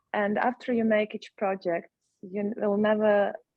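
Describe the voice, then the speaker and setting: In a Ukrainian accent, a woman of medium pitch speaks fairly slowly with monotone, flat intonation. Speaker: actress. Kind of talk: panel discussion. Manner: halting.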